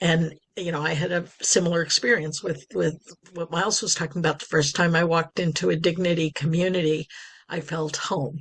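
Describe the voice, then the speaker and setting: The woman's voice is fairly low and somewhat breathy. She speaks at a fairly quick pace with fairly even intonation. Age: 60s. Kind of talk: podcast interview.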